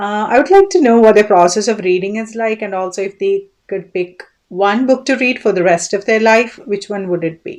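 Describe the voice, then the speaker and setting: A woman with a Keralan accent, fairly high in pitch, at a moderate pace with ordinary pitch variation. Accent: Indian English (Malayali). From Kerala, India. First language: Malayalam. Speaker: book vlogger. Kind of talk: casual monologue (tag video). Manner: occasionally halting.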